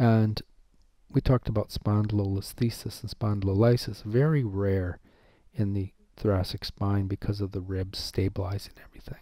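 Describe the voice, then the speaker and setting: A fairly low-pitched man's voice, dark and mellow in tone and somewhat breathy, with fairly even intonation at a moderate pace, in a very clean recording with a silent background. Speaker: professor. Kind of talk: lecture.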